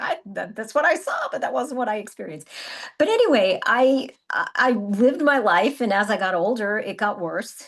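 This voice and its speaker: Lively in intonation, a woman with an unremarkable speaking voice talks at a moderate pace. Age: 60s. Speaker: wellness coach. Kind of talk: casual chat.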